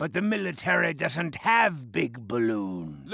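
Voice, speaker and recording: Over light background noise, a man puts on a cartoonish character voice at medium pitch and a fairly slow pace. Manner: wheedling.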